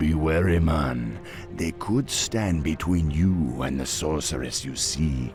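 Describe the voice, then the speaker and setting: A man does a put-on character voice at a very deep, low pitch. He talks at a fairly slow pace over clear background noise. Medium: machinima.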